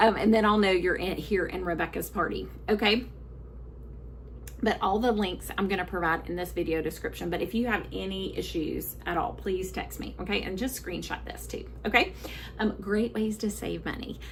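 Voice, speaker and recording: A woman with a Southern US accent speaks at a moderate pace, with audible room echo around her. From US South. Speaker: book sales consultant. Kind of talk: live sales presentation. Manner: halting.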